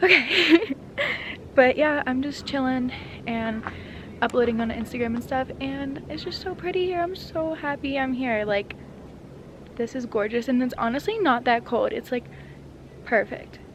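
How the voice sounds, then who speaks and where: Amid noticeable background noise, a woman speaks at a moderate pace in a high pitch, pausing long and often. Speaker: lifestyle vlogger. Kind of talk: casual vlog chat.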